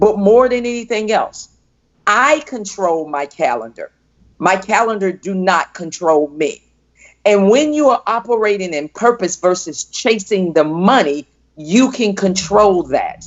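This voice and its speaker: In an American accent, a woman with an ordinary speaking voice talks at a fairly slow pace and medium pitch, her intonation lively. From US South, Fort Pierce, Florida. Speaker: entrepreneur and coach. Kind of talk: interview.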